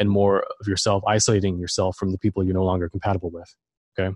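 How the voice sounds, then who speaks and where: Speaking at a very fast pace, a man with a fairly low pitch sounds somewhat breathy in a dry, close recording with no echo. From Germany. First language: German. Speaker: esoteric researcher and author. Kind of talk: interview.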